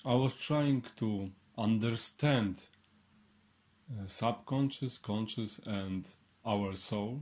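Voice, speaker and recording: In a Polish accent, a man of medium pitch talks at a very slow pace with ordinary pitch variation and long, frequent pauses. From Poland. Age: 30s. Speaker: clairvoyant and healer. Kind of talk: online workshop. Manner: halting.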